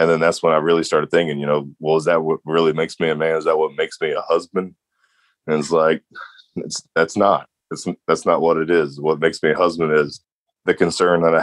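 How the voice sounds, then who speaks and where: Very fast and monotone, a man talks in a very deep, low pitch with flat intonation and a dry, close sound with no echo. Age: 30s. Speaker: patient sharing his story, former construction worker. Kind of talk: interview testimony.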